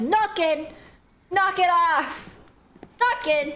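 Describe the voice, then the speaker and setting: A shouted, put-on character voice at an extremely high pitch. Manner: angry, shouting.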